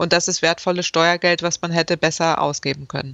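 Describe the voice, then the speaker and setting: A woman's fairly low voice, dry with no echo, against a quiet background. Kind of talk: interview answer. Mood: critical, matter-of-fact. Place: home room. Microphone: video call.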